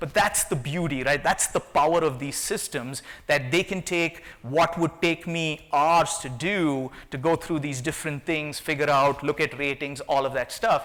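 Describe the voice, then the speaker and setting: Hardly pausing at all, a man speaks with a non-native accent. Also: fairly high pitch for a man, ordinary pitch variation. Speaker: tech company CEO. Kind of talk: conference talk. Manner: fast.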